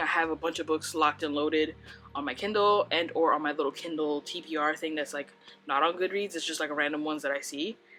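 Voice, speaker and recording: Music plays behind a woman with a very deep, low pitch who talks at a very fast pace with fairly even intonation. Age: 30s. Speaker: book reviewer. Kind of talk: casual chat. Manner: casual, filler-heavy.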